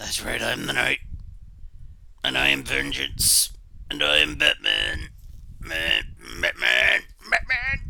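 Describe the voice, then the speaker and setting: A man's put-on character voice at a fairly slow pace, with long, frequent pauses and light background noise. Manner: dramatic, growling.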